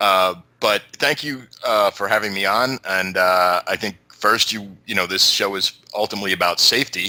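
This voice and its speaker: A man with a New York accent speaks in a fairly low pitch with a bright, sharp tone and fairly even intonation. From New York City. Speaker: YouTube show host, interview guest. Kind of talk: podcast interview. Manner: halting, many fillers.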